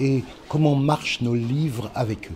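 Over light background noise, a man speaks at a fairly slow pace. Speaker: children's author. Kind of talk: interview. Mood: warm, lightly humorous. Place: classroom.

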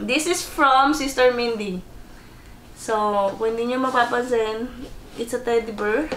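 A woman speaks at a high pitch and moderate pace, with ordinary pitch variation and long, frequent pauses. Audible room echo and light background noise surround her voice. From Philippines. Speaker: vlogger. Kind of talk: casual unboxing vlog. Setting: bedroom at home. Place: home room.

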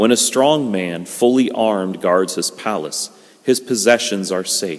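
Against a quiet background, a man with an ordinary speaking voice talks at a fairly low pitch and a fairly slow pace, using ordinary pitch variation. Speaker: priest. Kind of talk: liturgical scripture reading. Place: church.

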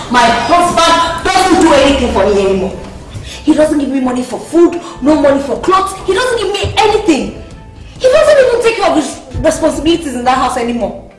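Fairly quick speech with audible room echo and faint music in the background. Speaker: actress playing a complaining wife. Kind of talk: scripted film dialogue. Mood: frustrated, complaining. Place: home room.

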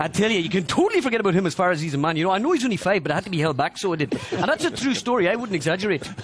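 Very fast speech comes from a man in a dry sound with no echo, with noticeable background noise behind him. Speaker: comedian impersonating a pundit. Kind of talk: comic impression monologue. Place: hall.

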